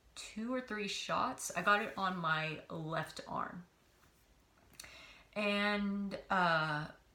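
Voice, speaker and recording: A woman speaks at a very slow pace with long, frequent pauses and ordinary pitch variation, over noticeable background noise. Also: medium pitch for a woman. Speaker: vlogger. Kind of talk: personal testimony vlog. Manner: hesitant, many filler words.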